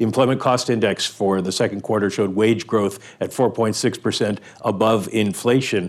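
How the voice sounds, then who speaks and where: A man with an ordinary speaking voice talks at a moderate pace, his fairly low pitch carried by fairly even intonation. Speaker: economics editor. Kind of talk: interview.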